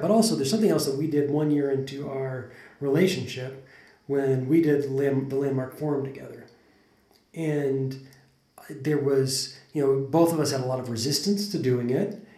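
Somewhat breathy, the voice moves at a moderate pace with a General American accent. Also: man. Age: 40s. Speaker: podcast host. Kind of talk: casual conversational podcast.

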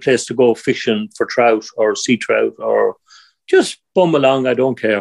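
Here a man speaks with an Irish accent at medium pitch. The sound is dry and close, with no echo. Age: 60s. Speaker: angler and river conservation volunteer. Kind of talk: casual interview.

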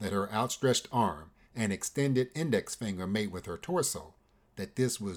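Someone is heard reading aloud in a natural voice.

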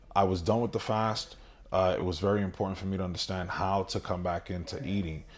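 A man with a very deep, low pitch and a New York accent, fairly quick pace and fairly even intonation, on a very clean recording with a silent background. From Brooklyn, New York, Dominican family. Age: 30s. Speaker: bodybuilder. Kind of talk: casual interview chat.

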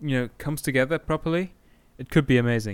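A man speaks at a moderate pace and a medium pitch. The recording is very clean, with a silent background. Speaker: podcast host. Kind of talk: casual chat.

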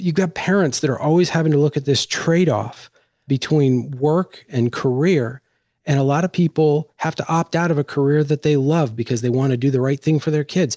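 An American man speaks fairly quickly at a fairly high pitch, his tone dark and mellow. His loudness stays very even, and the recording is very clean with a silent background. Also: ordinary pitch variation. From Washington, D.C. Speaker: podcast host. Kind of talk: casual chat.

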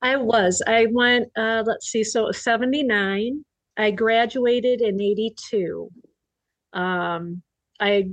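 A woman speaks at a fairly high pitch, her loudness very even and her intonation fairly even. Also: quiet background. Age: 60s. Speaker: record store owner. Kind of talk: casual chat.

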